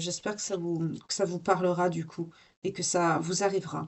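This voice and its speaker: A woman's fairly low voice in a monotone, flat intonation at a moderate pace. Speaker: tarot reader. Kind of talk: tarot reading. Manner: hesitant.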